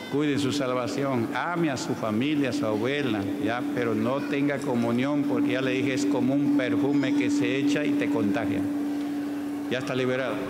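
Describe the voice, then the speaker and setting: Speech at a moderate pace is heard against loud background noise. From Peru. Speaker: pastor. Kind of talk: church healing testimonies. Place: church. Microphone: handheld.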